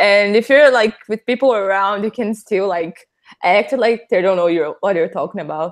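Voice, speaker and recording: A woman with a Portuguese accent speaks at a moderate pace, her medium pitch showing ordinary variation. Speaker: patron participant. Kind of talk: casual chat. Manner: hesitant.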